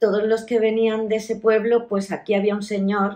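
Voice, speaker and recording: Speaking at a medium pitch, a woman talks at a fairly slow pace. Her intonation is monotone and flat. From Melilla, Spain. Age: 60s. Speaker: oral history interviewee. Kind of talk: life story interview. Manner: halting, with many fillers.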